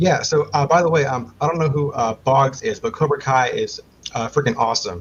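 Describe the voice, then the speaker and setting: A man with an American accent talks at a fairly quick pace in a fairly high pitch with ordinary pitch variation. His voice is somewhat breathy. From Maryland, US. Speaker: quiz show contestant hopeful. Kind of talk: podcast interview. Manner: halting, many fillers.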